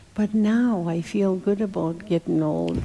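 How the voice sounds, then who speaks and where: Her voice has a dark, mellow tone, and this woman's pitch sits fairly low. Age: old. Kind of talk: interview conversation. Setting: church gathering.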